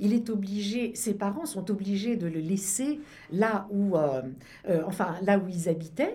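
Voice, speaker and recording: A woman's somewhat breathy, dark, mellow voice sits at a medium pitch with lively intonation, and the room echo is audible. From France. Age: 70s. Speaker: film festival founder. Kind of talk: radio interview.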